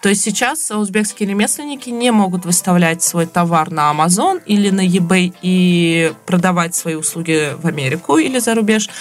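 Music can be heard behind the speaker. She is a woman talking at a moderate pace. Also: medium pitch for a woman, ordinary pitch variation, hardly any pauses, very even loudness. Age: young. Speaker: podcast co-host. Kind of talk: casual chat.

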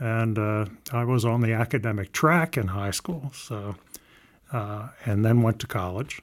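An unremarkable speaking voice from a man with an American accent, medium in pitch, at a moderate pace, on a very clean recording with a silent background. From US South, Southern Maryland. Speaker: engineering professor. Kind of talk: interview.

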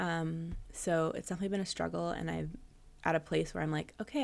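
With an American accent, a woman talks at a fairly quick pace. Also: very clean recording, silent background. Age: 30s. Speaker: podcast host and dog trainer. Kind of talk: casual chat. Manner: hesitant, many fillers.

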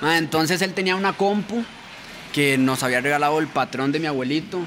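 With noticeable background noise behind him, a man speaks fairly quickly and with lively intonation. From Costa Rica, Pacayas, Cartago. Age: 20s. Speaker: rapper. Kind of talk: casual chat.

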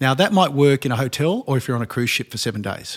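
On a very clean recording with a silent background, a man talks at a very fast pace in an Australian accent. His pitch is fairly high and his intonation lively. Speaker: co-founder of a later-living company. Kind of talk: panel discussion.

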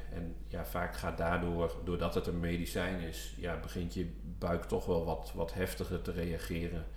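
Audible room echo surrounds a man with a very deep, low pitch. He talks at a fairly slow pace with very wide pitch swings and hardly any pauses. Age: 30s. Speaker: midwife. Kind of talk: interview. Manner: animated; hesitant, many fillers.

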